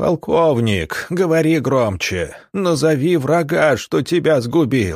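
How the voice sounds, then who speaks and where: In a put-on character voice that is shaky, the speaker goes at a fairly slow pace with hardly any pauses and lively intonation, in a very clean recording with a silent background. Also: man, fairly high pitch for a man. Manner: overacting, commanding.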